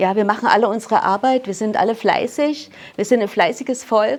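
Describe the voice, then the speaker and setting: This woman has a normal speaking voice, medium in pitch, with ordinary pitch variation and a moderate pace. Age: 60s. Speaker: mental trainer giving testimony at a talk. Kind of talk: personal testimony to audience.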